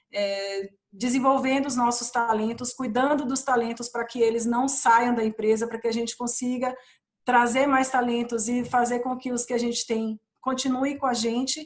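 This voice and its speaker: A woman with a Bahian accent speaks at a moderate pace in a high pitch, her intonation flat and monotone. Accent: Bahian accent, kept. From Brazil, Bahia (Ilhéus). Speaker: corporate training and diversity professional. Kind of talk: panel discussion. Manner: hesitant, many restarts.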